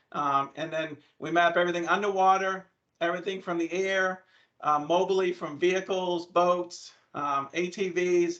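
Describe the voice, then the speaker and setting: A strong New England accent in monotone, flat intonation. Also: man, high pitch for a man. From New England (Maine). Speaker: land surveyor, company presenter. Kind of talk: presentation to students. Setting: video call. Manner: fast.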